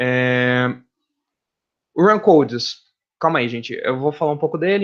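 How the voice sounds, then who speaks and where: A man speaks with lively intonation. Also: quiet background. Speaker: university professor. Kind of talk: lecture. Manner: fast when excited; casual, talkative.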